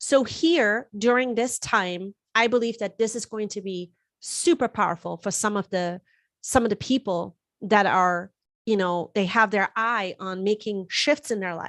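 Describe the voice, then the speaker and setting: A woman with a German accent, medium pitch and ordinary pitch variation, at a fairly slow pace, in a dry, close sound with no echo and a quiet background. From Germany. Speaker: astrologer and tarot reader. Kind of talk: live-stream forecast talk. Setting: live stream. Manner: casual, with fillers and repetitions.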